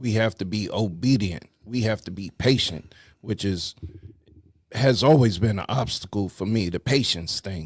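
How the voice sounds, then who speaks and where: This man has a New York accent and a fairly low, somewhat breathy voice. He talks at a moderate pace with ordinary pitch variation. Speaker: talk show host. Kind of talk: casual chat.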